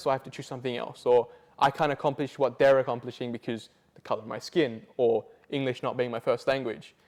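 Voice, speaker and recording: With an Australian accent, a man talks very fast at a fairly high pitch with fairly even intonation. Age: 20s. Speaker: youth and multicultural advocate. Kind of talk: interview testimony.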